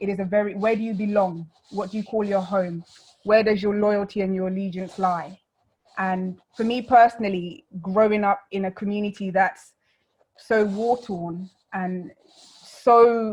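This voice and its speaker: The speaker has a London accent and a somewhat breathy voice with monotone, flat intonation. The pace is moderate, broken by long, frequent pauses. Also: woman, medium pitch for a woman. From London, England (born South Sudan). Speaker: refugee speaker. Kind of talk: talk.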